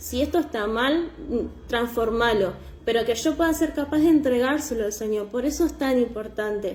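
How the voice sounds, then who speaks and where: With an Argentine accent, a woman talks at a moderate pace in a high pitch with ordinary pitch variation, and audible room echo fills the space. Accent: Argentine Spanish (Rioplatense). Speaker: church preacher. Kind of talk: sermon.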